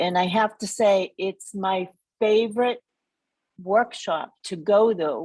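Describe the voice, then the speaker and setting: In an American accent, a woman speaks very slowly at medium pitch with ordinary pitch variation, on a very clean recording with a silent background. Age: 60s. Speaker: school committee candidate. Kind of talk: candidate forum answer.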